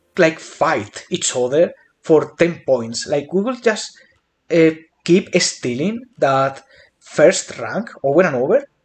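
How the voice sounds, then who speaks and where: A man with a non-native accent speaks at a very slow pace. His fairly high voice makes very wide pitch swings. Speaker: gaming youtuber. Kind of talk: casual chat; tutorial. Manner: hesitant with fillers.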